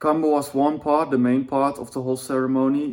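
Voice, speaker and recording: A fairly high-pitched man with a non-native accent. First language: not English. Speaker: vlogger. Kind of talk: personal vlog monologue. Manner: halting, self-correcting; casual.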